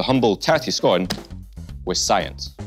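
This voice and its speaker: A man speaks at a moderate pace with a Scottish accent, clear music playing behind him. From Scotland. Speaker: science presenter. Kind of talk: science demonstration to camera. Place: studio.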